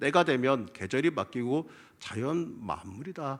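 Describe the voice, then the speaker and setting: On a very clean recording with a silent background, a man with a fairly high pitch speaks with lively intonation and vocal fry. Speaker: pastor. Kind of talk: sermon. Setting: church.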